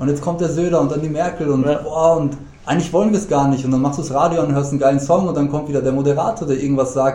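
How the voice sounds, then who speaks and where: Speaking very fast with fairly even intonation, a man with a fairly high pitch is heard over audible room echo. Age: 30s. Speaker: podcast guest, gym-goer friend of host. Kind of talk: casual chat. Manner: halting, many fillers.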